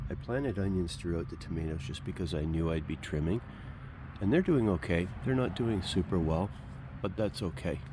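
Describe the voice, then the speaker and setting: A man speaks at a fairly quick pace with a very deep, low pitch and lively intonation. His tone is dark and mellow, with vocal fry. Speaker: home gardener, channel host. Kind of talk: casual garden tour walkthrough. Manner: casual, conversational.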